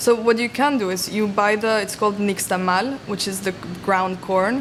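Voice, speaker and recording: Fairly high-pitched speech from a woman, moderate in pace, against noticeable background noise. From Mexico. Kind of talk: interview answer. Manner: soft-spoken.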